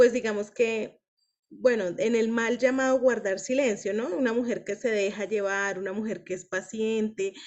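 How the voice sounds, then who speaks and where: At a fairly slow pace, a woman with a fairly high pitch talks with fairly even intonation. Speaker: women's book club leader. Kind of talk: group discussion / teaching.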